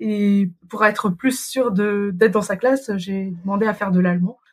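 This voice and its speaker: With an ordinary speaking voice, a woman talks at a moderate pace and medium pitch. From Paris region, France. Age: 30s. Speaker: mother living abroad. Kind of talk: interview. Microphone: poor sound quality at times.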